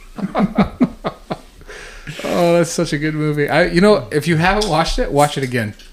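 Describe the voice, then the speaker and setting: A man's high voice with lively intonation at a moderate pace, over noticeable background noise. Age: 40s. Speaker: podcast co-host, jiu-jitsu practitioner. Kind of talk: casual chat.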